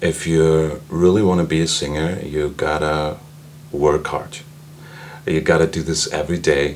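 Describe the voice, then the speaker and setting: Noticeable background noise sits behind a man speaking in a very deep, low pitch. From Austria. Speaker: singer and medical doctor, voice student. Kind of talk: interview.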